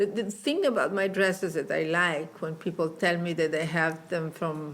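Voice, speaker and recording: A woman speaks at a fairly low pitch and a moderate pace. Her pitch varies in an ordinary way. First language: Italian. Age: old. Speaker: fashion designer. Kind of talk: interview. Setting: in person in Milan. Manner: halting.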